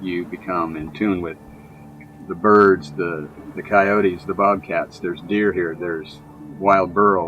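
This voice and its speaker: With a Southern Californian accent, a man with a very deep, low voice speaks fairly slowly and fairly evenly over noticeable background noise. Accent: Southern California American. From San Diego, California. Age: 60s. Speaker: retired surfer and board shaper. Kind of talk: documentary interview.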